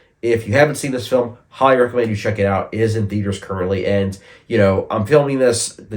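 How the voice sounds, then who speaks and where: The speech comes very fast and somewhat breathy. Its pitch varies in an ordinary way. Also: man. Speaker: film reviewer. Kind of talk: casual talk to camera.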